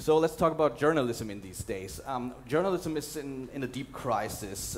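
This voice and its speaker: A man's voice with light background noise. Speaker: documentary journalist and conference speaker. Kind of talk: conference talk with slides and video clips. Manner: hesitant, fillers, repeats words. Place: hall. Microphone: headset.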